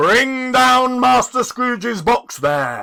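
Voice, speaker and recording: Shouting loudly in a put-on character voice, a man drags out his words at a very slow pace, his extremely high pitch full of lively intonation. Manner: loud, commanding shout.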